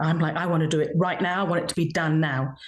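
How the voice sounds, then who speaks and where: Somewhat breathy speech comes at a very fast pace. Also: woman. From England, army family. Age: 60s. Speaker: children's author and illustrator. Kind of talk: interview. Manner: animated.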